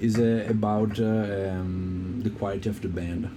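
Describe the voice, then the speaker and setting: In an Italian accent, a man talks at a fairly low pitch with ordinary pitch variation, audible room echo around him. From Italy. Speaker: keyboardist and sound engineer. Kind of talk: casual interview chat. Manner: halting, many hesitations.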